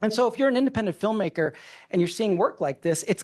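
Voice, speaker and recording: A man's voice with very wide pitch swings. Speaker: filmmaker and cinematic director. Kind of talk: conference presentation. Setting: stage with audience. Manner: fast.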